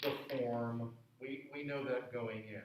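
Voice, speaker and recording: The intonation is monotone and flat. Audible room echo and noticeable background noise surround the voice. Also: man. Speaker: music professor. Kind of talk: lecture. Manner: loud, projecting.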